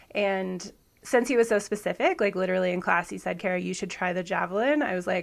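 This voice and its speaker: A woman with vocal fry speaks at a medium pitch and a fairly quick pace. Her pitch variation is ordinary, and the recording is very clean with a silent background. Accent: American. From US Pacific Northwest, Washington State. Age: 30s. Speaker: javelin thrower. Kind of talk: podcast interview.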